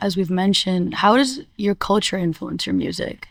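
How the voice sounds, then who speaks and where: At a moderate pace, a woman speaks at a medium pitch in an ordinary speaking voice. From born in India, raised in US. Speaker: interviewer. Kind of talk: interview.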